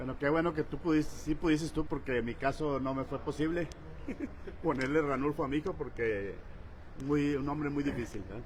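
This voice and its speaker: A normal speaking voice from a man, fairly high-pitched and fairly quick, with ordinary pitch variation. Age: 60s. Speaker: politician and social activist. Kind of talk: political roundtable discussion.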